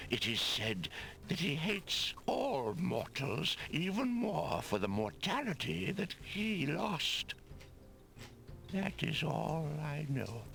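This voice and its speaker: A man puts on a character voice, fairly high in pitch, speaking at a very slow pace over clear background noise. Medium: video game. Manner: solemn, formal.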